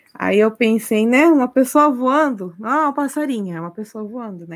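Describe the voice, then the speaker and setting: A plain, everyday voice from a female speaker, moving at a moderate pace. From Brazil, of Japanese descent. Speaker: Brazilian immigrant in Japan, watercolor artist. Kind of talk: casual chat.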